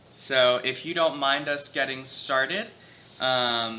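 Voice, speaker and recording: Against noticeable background noise, a man with a medium pitch speaks at a fairly slow pace, using ordinary pitch variation. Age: 20s. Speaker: grandson interviewer. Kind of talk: family oral history interview.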